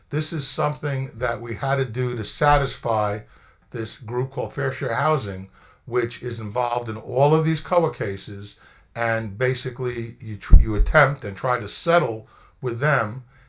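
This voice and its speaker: Music can be heard behind the speaker. His pitch varies in an ordinary way as the man talks. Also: medium pitch for a man, moderate pace, big swings in loudness. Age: 60s. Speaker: township attorney. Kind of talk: public meeting explanation. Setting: council meeting room.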